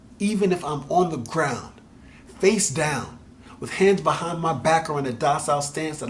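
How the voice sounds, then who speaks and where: Using an ordinary speaking voice, the speaker goes at a moderate pace with ordinary pitch variation. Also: man. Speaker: spoken word poet. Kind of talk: spoken word poetry.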